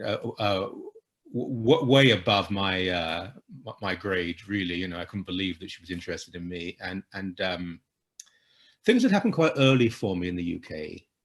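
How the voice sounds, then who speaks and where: A man talks at a moderate pace in a very deep, low voice with ordinary pitch variation. His loudness swings widely. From England, London-Essex border (Ilford). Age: 60s. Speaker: Anglican priest, author and columnist. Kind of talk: interview. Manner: halting, many repetitions.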